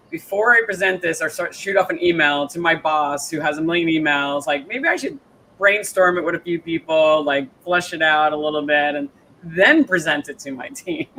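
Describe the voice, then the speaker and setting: This man talks with a New York accent, his voice high-pitched and his pitch moving in an ordinary way. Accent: Staten Island. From New York, Staten Island. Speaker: interview show host. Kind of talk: casual interview chat. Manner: fast, filler-heavy.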